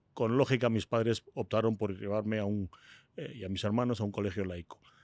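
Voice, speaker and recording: A man's fairly low voice at a fairly quick pace, fairly even in intonation, on a very clean recording with a silent background. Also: dry, close sound with no echo. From Spain (Madrid). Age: 60s. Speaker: entrepreneur. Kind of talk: interview. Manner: hesitant fillers.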